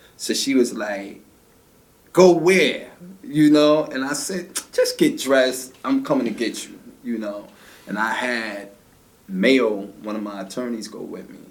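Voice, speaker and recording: A man with a medium pitch speaks at a fairly slow pace, leaving long, frequent pauses. His intonation is lively, and the room echo is audible. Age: 50s. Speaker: martial arts instructor and activist. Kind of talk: interview about his life.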